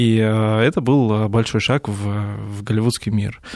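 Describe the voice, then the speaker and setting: Here a man speaks with a fairly low pitch and a dark, mellow tone at a fairly slow pace. His intonation is fairly even, and the sound is dry and close with no echo. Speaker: visual effects supervisor and teacher. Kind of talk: radio interview. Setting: studio.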